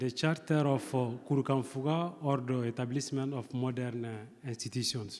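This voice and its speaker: Here a man with a non-native accent speaks at a medium pitch. He talks at a fairly slow pace. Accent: non-native, pronunciation difficulties. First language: not English. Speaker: seminar speaker. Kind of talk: academic presentation. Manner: hesitant, many fillers.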